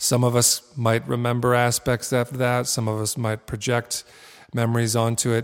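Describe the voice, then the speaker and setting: A man talks at a moderate pace in a medium pitch, his intonation flat and monotone, with music playing in the background. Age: 40s. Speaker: artist and creativity teacher. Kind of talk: interview conversation; guided meditation.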